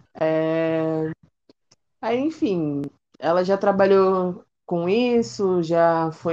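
A woman is talking. Her voice has a fairly low pitch. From Brazil, São Paulo city (East Zone). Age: 20s. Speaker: cook and psychologist. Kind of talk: casual interview.

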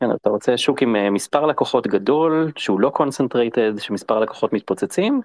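Against a quiet background, a man with an unremarkable speaking voice talks at a fairly quick pace, with ordinary pitch variation, very even loudness and a dry, close sound with no echo. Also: medium pitch for a man, hardly any pauses. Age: 40s. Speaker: venture fund managing partner, former founder. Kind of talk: interview.

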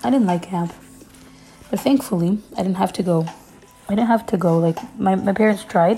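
A woman's medium-pitched voice at a moderate pace, with ordinary pitch variation, long, frequent pauses and music in the background. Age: 20s. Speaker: podcast host. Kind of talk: casual chat.

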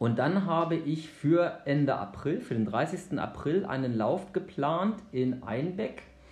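The speech runs at a very slow pace with hardly any pauses, and audible room echo surrounds it. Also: man, fairly high pitch for a man, lively intonation. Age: 40s. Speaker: obstacle race organiser. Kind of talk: podcast interview.

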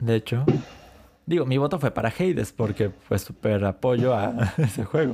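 A man talks at a fairly slow pace with a medium pitch and a dark, mellow tone. His intonation is lively and his loudness very even. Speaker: anime and gaming podcast co-host. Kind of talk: casual chat.

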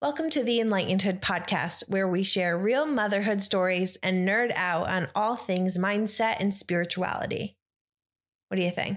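On a very clean recording with a silent background, a woman with an American accent speaks at medium pitch and a moderate pace, with ordinary pitch variation. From Upstate New York. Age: 20s. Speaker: podcast host. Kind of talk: casual chat; scripted podcast intro. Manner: energetic.

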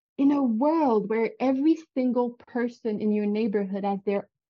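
Speaking with a Quebec accent, a woman talks very slowly. Her voice is fairly high, with ordinary pitch variation. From Quebec City, Canada. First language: French. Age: 30s. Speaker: vegan virtual assistant. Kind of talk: casual interview chat.

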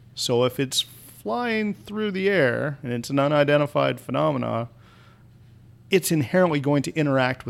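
A man with an American accent speaks at a moderate pace and a fairly high pitch. His is an unremarkable speaking voice. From US Midwest (rural Kansas). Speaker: army officer. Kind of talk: casual chat.

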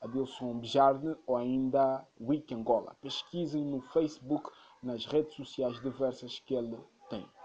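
At a fairly slow pace, a man with a normal speaking voice, medium pitch and fairly even intonation is talking. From Angola. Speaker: podcast host. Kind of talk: scripted narration.

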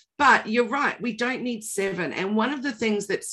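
Here a woman speaks with a New Zealand accent. Her pace is moderate and her pitch varies an ordinary amount. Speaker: podcast co-host, digital marketing trainer. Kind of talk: casual chat.

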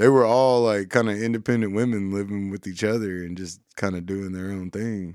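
In a Southern US accent, a man speaks at a moderate pace and fairly low pitch, with hardly any pauses. His intonation stays fairly even while his loudness swings widely. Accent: Southern country. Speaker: radio host. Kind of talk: casual chat.

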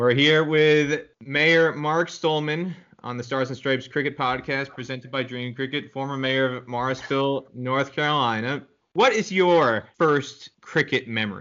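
Here a man speaks at a fairly high pitch. He has a plain, everyday voice with ordinary pitch variation. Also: fairly slow pace. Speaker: podcast host. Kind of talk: casual interview.

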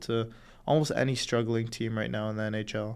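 A man with a Canadian accent has a plain, everyday voice and talks at a moderate pace. His intonation is fairly even, and the recording is very clean with a silent background. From Canada. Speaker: hockey podcast co-host. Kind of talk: casual sports chat.

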